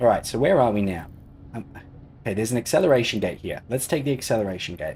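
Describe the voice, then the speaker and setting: With an Australian accent, a man talks very fast with lively intonation. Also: medium pitch for a man. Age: 30s. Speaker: gaming streamer. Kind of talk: casual live-stream chat with gameplay commentary. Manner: casual, relaxed.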